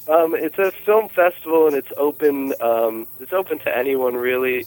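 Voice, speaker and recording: Over noticeable background noise, a man with an American accent talks at a moderate pace. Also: dry, close sound with no echo. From western North Carolina, Appalachia. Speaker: caller and amateur filmmaker.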